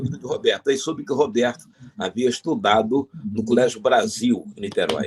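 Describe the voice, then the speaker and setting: Somewhat breathy and at a medium pitch, a man speaks at a moderate pace with very wide pitch swings, in a dry, close sound with no echo. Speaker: veteran radio broadcaster, interviewee. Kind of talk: interview answer, storytelling anecdotes.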